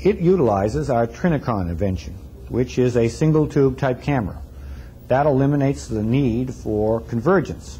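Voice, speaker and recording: The voice is dark and mellow, somewhat breathy, with very wide pitch swings over light background noise. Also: man, moderate pace. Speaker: company product presenter. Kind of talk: 1974 product demo narration, corporate sales presentation. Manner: formal; measured, businesslike. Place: studio.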